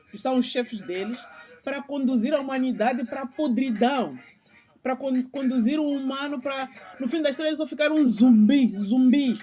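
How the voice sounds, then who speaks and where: A woman speaks at a high pitch with ordinary pitch variation. Music plays in the background. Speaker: channel host, spiritual commentator. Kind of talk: monologue vlog. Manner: halting, repeats words; impassioned.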